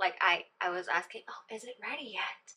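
The voice has a bright, sharp tone with ordinary pitch variation. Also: woman. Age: 20s. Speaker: lifestyle vlogger. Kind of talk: casual vlog talk. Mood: relaxed, chatty. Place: home room. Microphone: phone near.

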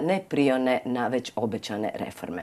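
Very wide pitch swings in a woman's voice. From Croatia. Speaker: TV host. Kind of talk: TV interview. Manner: formal. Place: studio. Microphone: lapel.

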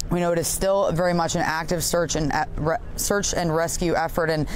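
Fairly quick and fairly even in intonation, a woman speaks with a very deep, low pitch. Light background noise can be heard. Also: dry sound with no echo. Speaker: TV news field reporter. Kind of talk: live news report. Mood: serious, somber. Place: waterside.

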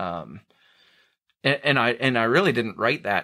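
A man with a Northern US accent, bright and sharp in tone, at a fairly slow pace, in a very clean recording with a silent background. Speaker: podcast host. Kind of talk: casual interview. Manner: sarcastic.

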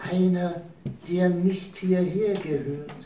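A put-on character voice at a middle pitch and a very slow pace, with slight echo. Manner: hissing.

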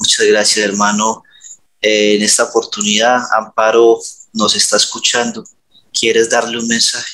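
With a quiet background, the delivery unfolds at a fairly slow pace. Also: man. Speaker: hypnotherapist. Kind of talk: hypnosis session. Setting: video call. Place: home room. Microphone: headset.

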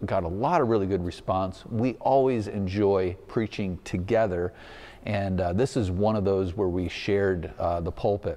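A man speaks at a moderate pace. His voice is fairly low, with a dark, mellow tone. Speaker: pastor. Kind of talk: church announcement address. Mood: warm and upbeat. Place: church. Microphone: lapel.

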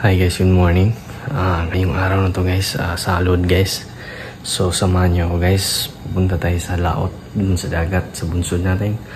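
The speech goes at a fairly slow pace with fairly even intonation, and noticeable background noise sits behind it. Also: man. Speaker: fishing vlogger. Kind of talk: casual vlog chat. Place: home room. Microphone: phone near.

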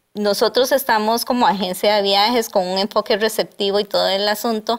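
With ordinary pitch variation, a woman is talking. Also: quiet background. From Costa Rica, San José; Costa Rica. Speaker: tourism entrepreneur; interview guest. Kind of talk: interview. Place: studio. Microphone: lapel.

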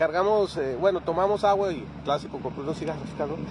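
Loud background noise beneath a man's dry, echo-free voice. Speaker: motorcycle travel vlogger. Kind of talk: casual vlog chat. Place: street. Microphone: phone near.

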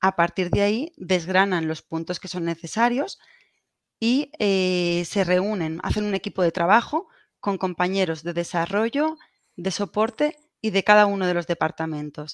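Fairly slow speech in a Castilian accent, with ordinary pitch variation, a dry sound with no echo and a quiet background. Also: woman, medium pitch for a woman. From Spain, Valencia; Spain. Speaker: telecommunications engineer; presenter. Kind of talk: conference presentation. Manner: halting, repeats words. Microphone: video call.

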